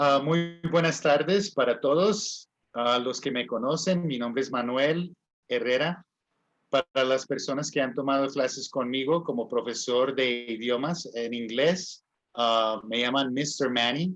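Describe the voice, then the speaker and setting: Here a man talks with a Spanish accent. His pace is moderate, and his pitch variation is ordinary. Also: medium pitch for a man. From US, California. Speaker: English teacher and livestream host. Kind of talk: promotional talk to viewers.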